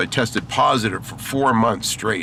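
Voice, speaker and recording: Over noticeable background noise, a man with an American accent talks at a moderate pace and medium pitch, his intonation fairly even. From Maine, US. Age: 60s. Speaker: gaming vlogger. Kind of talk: casual vlog monologue. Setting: in a car, driving.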